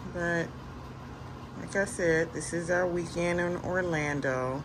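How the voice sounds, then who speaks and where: A woman with a fairly low pitch and lively intonation speaks in a room with audible echo and noticeable background noise. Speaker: lifestyle vlogger. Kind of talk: casual vlog talk.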